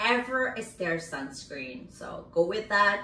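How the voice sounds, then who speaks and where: A woman is speaking. There is audible room echo. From South Korea. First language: Korean. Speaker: makeup artist and beauty YouTuber; beauty YouTuber. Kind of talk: product review vlog. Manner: animated. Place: home room. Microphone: phone near.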